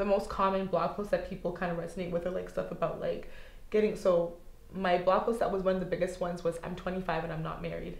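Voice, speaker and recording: A woman at a medium pitch talks very fast, with audible room echo and noticeable background noise. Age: 20s. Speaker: blogger and stylist. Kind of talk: casual interview chat. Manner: animated.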